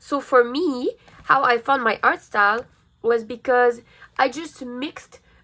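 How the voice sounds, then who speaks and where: An upbeat, high-pitched woman's voice, raised and projected, bright and sharp in tone, on a very clean recording with a silent background. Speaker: art youtuber. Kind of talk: tutorial. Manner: casual, upbeat.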